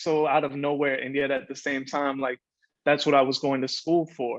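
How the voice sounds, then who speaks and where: A man with a Spanish accent and a fairly high pitch speaks at a moderate pace. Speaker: poet. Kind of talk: casual talk between poems; poetry reading.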